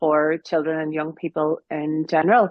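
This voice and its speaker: Speaking in a Northern Irish accent, a woman keeps a moderate pace. Her pitch is fairly low. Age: 40s. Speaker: piano teacher and music academy founder. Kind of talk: interview.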